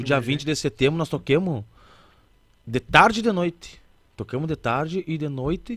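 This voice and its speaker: A man is speaking. The sound is dry, with no echo. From Alegrete, Rio Grande do Sul, Brazil; Rio Grande do Sul, Brazil. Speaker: musician (accordion player and singer); guest. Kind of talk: casual interview chat. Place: studio. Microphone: studio mic.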